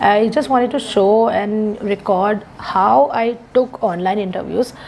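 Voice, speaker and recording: A woman talks at a fairly slow pace over noticeable background noise. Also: medium pitch for a woman, ordinary pitch variation. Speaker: English speaking tutor. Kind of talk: mock speaking test feedback. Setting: video call. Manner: soft-spoken.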